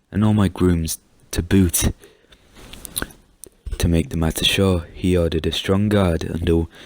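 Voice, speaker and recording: Soft-spoken and calm in tone, a man with a very deep, low voice speaks fairly slowly with fairly even intonation in a dry, close sound with no echo. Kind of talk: story reading, soft-spoken ASMR-style storytime. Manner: soft-spoken, calm.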